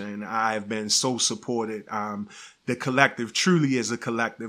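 The tone of this man's voice is bright and sharp. His pitch sits in the medium range. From Baltimore, Maryland. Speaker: community composting program manager. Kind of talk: interview. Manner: animated.

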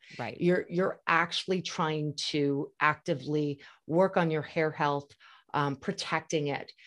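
Her voice is an unremarkable speaking voice, fairly low for a woman, with ordinary pitch variation at a fairly slow pace. The recording is very clean, with a silent background. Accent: American. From New York. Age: 50s. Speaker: hair care brand trainer and spokesperson. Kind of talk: casual interview chat.

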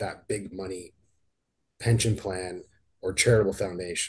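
A man speaks at a moderate pace in a Canadian accent. His voice is somewhat breathy. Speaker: financial advisor and podcast host. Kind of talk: scripted announcement. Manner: monotone.

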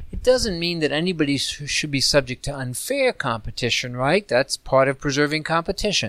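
A man speaks fairly quickly, with hardly any pauses, in an ordinary speaking voice pitched fairly high. The sound is dry and close, with no echo. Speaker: policy expert, report author. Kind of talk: interview.

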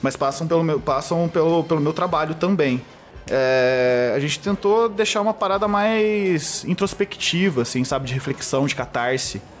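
Over music in the background, a man speaks at a moderate pace. His fairly high voice has lively intonation and very even loudness. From Brazil, southern Minas Gerais. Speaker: advertising professional and metal/hardcore band vocalist-bassist. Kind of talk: casual chat. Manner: halting, many repetitions and fillers.

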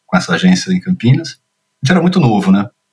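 Very wide pitch swings mark speech delivered at a fairly quick pace. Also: man. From Brazil, São Paulo; childhood also in Curitiba, Rio, Minas Gerais. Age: 50s. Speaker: children's media producer and screenwriter. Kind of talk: casual interview. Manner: hesitant, many repetitions and fillers.

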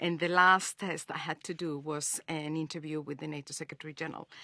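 A woman with a Spanish accent speaks at a fairly quick pace in a bright, sharp tone. The sound is dry and close with no echo, over a quiet background. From Spain. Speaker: international organization communications official. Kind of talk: interview.

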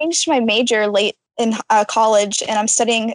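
A woman's unremarkable speaking voice, fairly high in pitch, with fairly even intonation and a dry, close sound free of echo. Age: 20s. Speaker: theater design student. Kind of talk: casual chat.

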